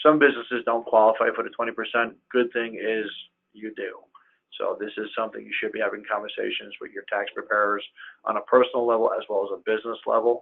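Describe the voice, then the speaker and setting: His loudness rises and falls in big swings. The man speaks at a very fast pace. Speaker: accountant. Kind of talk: webinar presentation.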